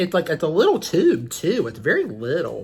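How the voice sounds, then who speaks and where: The speaker has a Southern US accent and an animated tone, keeping a moderate pace over noticeable background noise. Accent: Southern US twang. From US South. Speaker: beauty vlogger. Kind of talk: makeup tutorial. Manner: chatty, animated.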